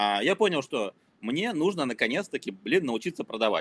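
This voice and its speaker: Very fast speech from a man whose pitch swings very widely. The sound is dry and close, with no echo. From former Soviet Union (Ukraine, Kazakhstan, Moscow). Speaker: marketer and startup founder. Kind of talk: casual interview chat.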